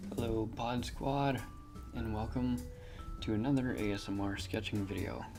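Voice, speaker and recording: With music in the background, a soft-spoken man with a fairly low pitch talks at a moderate pace, using lively intonation and long, frequent pauses. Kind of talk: ASMR drawing video talk.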